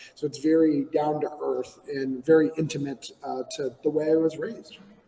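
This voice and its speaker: With noticeable background noise behind him, a man with an American accent speaks in a fairly high voice with fairly even intonation. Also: moderate pace. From New Hampshire, US. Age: 40s. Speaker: comic book writer. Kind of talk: podcast interview.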